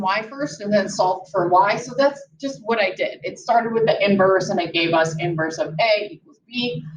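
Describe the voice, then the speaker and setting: With lively intonation, a woman speaks amid audible room echo. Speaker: math teacher. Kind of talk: lecture. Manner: animated.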